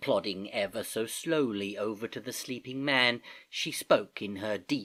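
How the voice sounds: In a natural reading voice, the speaker's pitch shifts by ordinary amounts.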